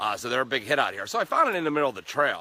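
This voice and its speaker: A man speaks at a fairly high pitch with lively intonation. His tone is bright and sharp, and the sound is dry and close with no echo. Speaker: hiking vlogger. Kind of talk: casual vlog narration. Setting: outdoors on hiking trail. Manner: unscripted, stumbling over words.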